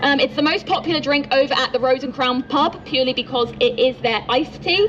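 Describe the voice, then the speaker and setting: A woman talks at a very fast pace with an English accent and a high pitch. Music plays in the background. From England, Norwich (East Anglia). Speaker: tour guide. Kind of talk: guided tour talk. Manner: friendly, chatty.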